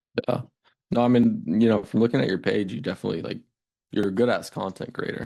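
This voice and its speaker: With an American accent, a man of medium pitch talks at a very fast pace, his voice showing vocal fry. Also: ordinary pitch variation. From US. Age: 20s. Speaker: agency owner. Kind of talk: sales call. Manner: casual.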